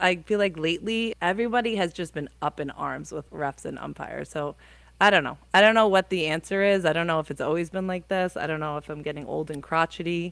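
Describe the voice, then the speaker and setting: Against a silent background on a very clean recording, a woman with a New Jersey accent talks very fast in a fairly low voice. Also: ordinary pitch variation. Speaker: high school softball coach. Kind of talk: podcast interview answer. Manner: casual, conversational.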